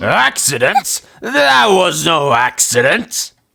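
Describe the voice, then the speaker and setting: A cartoonish character voice at a low-to-middle pitch and a very slow pace. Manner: dramatic, storyteller-like.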